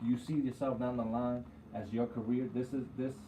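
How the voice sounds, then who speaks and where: A man with an American accent has an unremarkable speaking voice. His pitch is medium and his pace moderate. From New York. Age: 30s. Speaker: barber and radio co-host. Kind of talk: casual chat.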